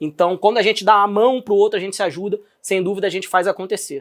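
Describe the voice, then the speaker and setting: A high-pitched man in a Rio de Janeiro accent, fairly even intonation, very clean recording with a silent background. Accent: carioca accent noticeable. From Brazil, Rio de Janeiro. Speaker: podcast host, entrepreneur. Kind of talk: podcast interview. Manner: casual, conversational.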